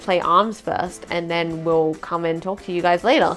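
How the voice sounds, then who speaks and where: Music plays in the background. Over it, a woman with an Australian accent speaks at a medium pitch. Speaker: vlogger. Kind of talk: casual talk to camera.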